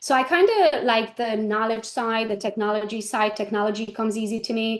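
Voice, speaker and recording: A woman with a fairly high pitch, talking at a fairly quick pace. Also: fairly even intonation. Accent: Hungarian. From Romania (Hungarian minority). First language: Hungarian. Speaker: real estate agent and trainer. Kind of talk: interview.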